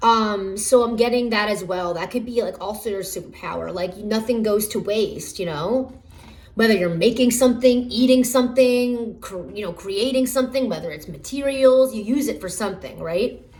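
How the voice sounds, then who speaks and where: With hardly any pauses, a woman with a fairly high voice talks over noticeable background noise in a room with audible echo. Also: ordinary pitch variation, moderate pace, big swings in loudness. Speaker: tarot reader. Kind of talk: pick-a-card tarot reading. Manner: halting, many fillers.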